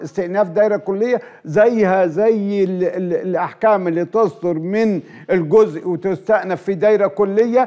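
The background is quiet. A man talks at a high pitch. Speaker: guest. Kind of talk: interview answer. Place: studio. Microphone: lapel.

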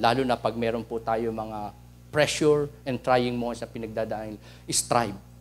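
The speech moves at a fairly slow pace. Its intonation stays fairly even. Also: man. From Philippines. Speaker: preacher. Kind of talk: sermon. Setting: church. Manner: formal, reverent prayer cadence; earnest, teacherly, code-switching Tagalog and English. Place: church. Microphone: handheld.

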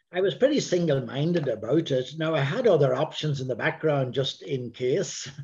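Somewhat breathy and dark, mellow in tone, a man speaks at a moderate pace with ordinary pitch variation over a quiet background. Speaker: interview guest, priest. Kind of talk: interview answer. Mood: calm, reflective. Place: home room. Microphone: video call.

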